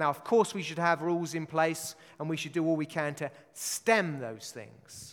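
A man with a British accent is heard in a very clean recording against a silent background. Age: 40s. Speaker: pastor. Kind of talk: sermon. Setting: church. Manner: animated.

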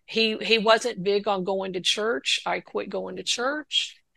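At a very slow pace, a woman talks with a bright, sharp tone, medium pitch, vocal fry, and fairly even intonation. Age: 60s. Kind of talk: testimony. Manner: halting.

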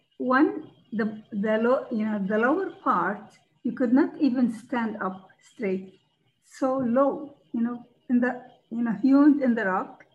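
A woman's high voice in a Levantine Arabic accent, very slow, with ordinary pitch variation. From Palestine and Jordan (born Ramallah, raised Jordan). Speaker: charity founder. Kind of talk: interview, personal story.

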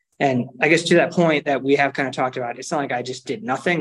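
In an ordinary speaking voice, a man gets through his words at a fairly quick pace. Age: 40s. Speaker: triathlon coach and athlete. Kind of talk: casual chat.

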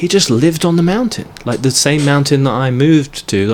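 A man talks at a moderate pace with lively intonation. There is noticeable background noise. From England. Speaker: long-distance runner and fitness vlogger. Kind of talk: casual interview.

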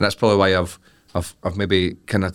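In a Scottish accent, a man talks at a very fast pace with a monotone, flat intonation on a very clean recording with a silent background. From Scotland. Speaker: comedian. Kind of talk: casual chat.

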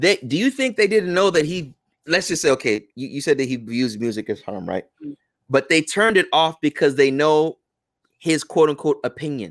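In a normal speaking voice, a man with an American accent speaks at a fairly high pitch with lively intonation, the sound dry and close with no echo on a very clean recording with a silent background. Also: moderate pace. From United States, Ghanaian family. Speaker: imam and Islamic teacher. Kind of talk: podcast interview.

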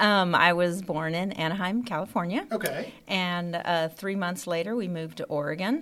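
A normal speaking voice from a woman, medium in pitch with ordinary pitch variation, at a moderate pace on a very clean recording with a silent background. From Dallas-Fort Worth, Texas (partly raised in the Philippines). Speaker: school athletic office assistant. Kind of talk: casual interview.

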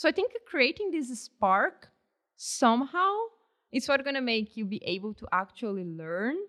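Using very wide pitch swings, a woman with a Portuguese accent speaks at a high pitch. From Brazil. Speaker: engineering PhD candidate and teacher. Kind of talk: interview.

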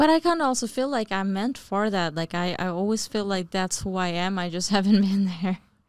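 Hardly pausing, a woman with an ordinary speaking voice talks at a fairly quick pace and medium pitch on a very clean recording with a silent background. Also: ordinary pitch variation. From New Jersey (born in Bangladesh). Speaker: real estate investor. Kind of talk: casual chat.

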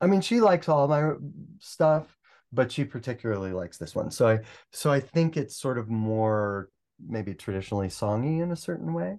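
A man with a plain, everyday voice, medium pitch, and moderate pace. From US Midwest, Cleveland, Ohio. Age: 50s. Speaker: musician and composer. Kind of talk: interview conversation.

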